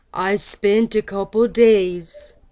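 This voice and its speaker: A woman speaks in a monotone, flat intonation. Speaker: patient recovering from medication side effect. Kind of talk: personal talk to camera. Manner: slow, halting.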